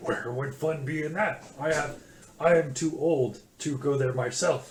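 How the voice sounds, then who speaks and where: Doing a put-on character voice, a man sounds raspy and fairly high-pitched as he talks at a moderate pace. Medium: actual play. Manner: broken grammar, cryptic sayings.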